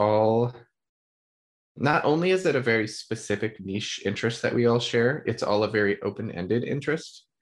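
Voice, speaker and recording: In a quiet background, a man with a plain, everyday voice speaks at a medium pitch and moderate pace with ordinary pitch variation. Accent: American. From southeastern Ohio, Hocking Hills area. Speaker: illustrator. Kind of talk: casual chat.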